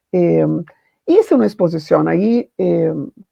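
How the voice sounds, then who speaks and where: A woman with a Portuguese accent speaks at a fairly slow pace. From Brazil. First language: Portuguese (speaking Spanish). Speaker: foundation founder and literature professor. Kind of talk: panel talk, personal testimony.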